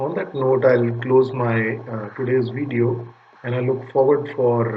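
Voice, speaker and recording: A man's monotone, flat delivery with a Punjabi accent at a fairly slow pace, amid audible room echo and noticeable background noise. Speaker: data recovery business owner. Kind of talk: channel intro talk to camera. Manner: hesitant, many fillers.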